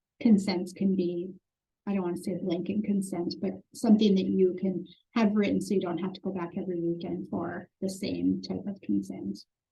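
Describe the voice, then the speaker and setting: The voice has a dark, mellow tone and some vocal fry. Its intonation stays fairly even. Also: woman, medium pitch for a woman. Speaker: foster care trainer. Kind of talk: training webinar. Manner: fast.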